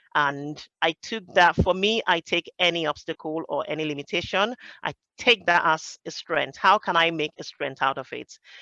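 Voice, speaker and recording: A woman with a Nigerian accent speaks at a fairly low pitch with ordinary pitch variation. Her tone is bright and sharp, in a dry, close sound with no echo. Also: moderate pace, quiet background. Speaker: project professional. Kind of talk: roundtable discussion. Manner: hesitant, with fillers.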